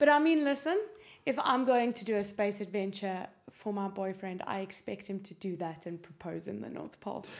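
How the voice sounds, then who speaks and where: Loudness swings widely in this voice, which moves at a moderate pace with ordinary pitch variation. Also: woman, medium pitch for a woman. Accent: South African. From South Africa. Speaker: guest, prospective space tourist. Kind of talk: casual interview.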